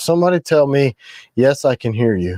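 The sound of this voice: The tone is dark and mellow, with big pitch swings at a moderate pace. The sound is dry and close, with no echo. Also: man, medium pitch for a man.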